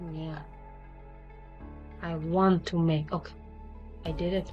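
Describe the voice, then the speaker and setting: A woman speaks with a non-native accent while music plays in the background. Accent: non-native English speaker. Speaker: 3D fashion design tutor. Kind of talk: software tutorial narration. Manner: hesitant, many fillers.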